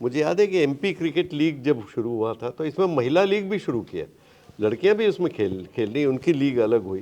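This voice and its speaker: A man talks at a moderate pace in a fairly high pitch. His tone is dark and mellow, with very wide pitch swings. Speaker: veteran Hindi cricket commentator. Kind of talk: interview answer. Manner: conversational, storytelling.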